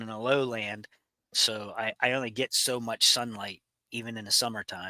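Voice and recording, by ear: A man with a Pittsburgh accent talks at a fairly slow pace and a medium pitch, his intonation monotone and flat, his tone bright and sharp, the sound dry and close with no echo.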